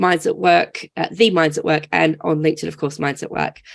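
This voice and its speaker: Against a quiet background, a woman uses lively intonation and vocal fry. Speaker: online community manager and webinar host. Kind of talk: hosting a webinar. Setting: video call.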